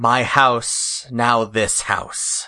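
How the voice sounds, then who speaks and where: In a put-on character voice, a man speaks with a raspy sound at a medium pitch. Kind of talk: broken halting speech.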